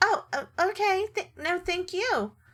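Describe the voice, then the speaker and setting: A woman puts on a squeaky character voice at an extremely high pitch, with lively intonation and a fairly slow pace. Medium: actual play. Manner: stammering, hesitant.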